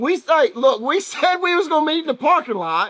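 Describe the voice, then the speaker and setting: A loud man's extremely high-pitched voice with a Southern US accent, at a moderate pace. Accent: US South. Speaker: race team member. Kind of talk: casual chat.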